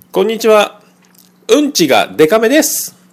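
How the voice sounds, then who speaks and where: A man is speaking. His intonation is lively. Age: 40s. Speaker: podcast host. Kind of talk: casual monologue. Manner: hesitant with many fillers.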